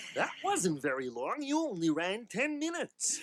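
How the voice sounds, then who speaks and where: A man puts on a cartoonish character voice at a high pitch, with very wide pitch swings. He talks at a moderate pace. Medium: puppet show.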